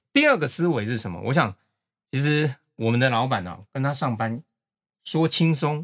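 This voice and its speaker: A man speaks at a medium pitch and a moderate pace. The recording is very clean, with a silent background and a dry, close sound with no echo. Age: 50s. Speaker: company executive. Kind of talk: casual interview chat.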